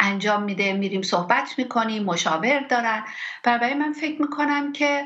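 At a moderate pace and with lively intonation, a woman talks over noticeable background noise. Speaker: physician. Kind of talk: interview.

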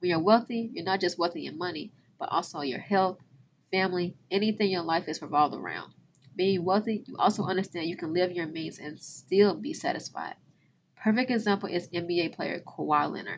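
A woman with an American accent talks fairly quickly in a fairly low voice with ordinary pitch variation. Her loudness swings widely. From southern Illinois (Cairo). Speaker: podcast host, finance educator. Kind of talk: casual monologue. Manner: animated.

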